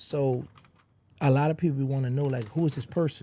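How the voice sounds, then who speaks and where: This man has an American accent and a dark, mellow tone at a medium pitch. His voice is somewhat breathy, with ordinary pitch variation. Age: 50s. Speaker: former rapper's associate and ex-inmate. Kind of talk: interview. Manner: animated.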